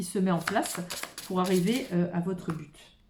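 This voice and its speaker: Her voice sits at medium pitch with a dark, mellow tone, somewhat breathy, as this woman speaks at a moderate pace. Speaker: tarot card reader. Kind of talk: improvised card reading. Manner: halting.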